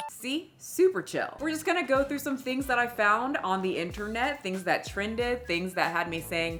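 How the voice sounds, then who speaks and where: Over music in the background, a woman speaks loudly at a high pitch with very wide pitch swings. She keeps a moderate pace with hardly any pauses. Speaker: commentary youtuber. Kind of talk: casual commentary.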